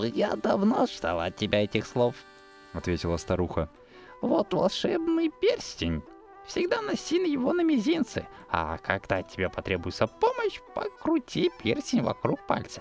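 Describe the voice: A woman talks at a moderate pace while music plays clearly in the background.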